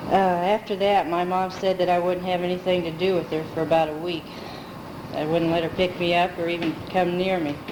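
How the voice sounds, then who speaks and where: A woman's fairly low, monotone voice in an American accent, fairly quick, with flat intonation, noticeable background noise and audible room echo. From US Midwest, Pekin, Illinois. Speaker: family member telling life story. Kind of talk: oral history recollection. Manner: halting.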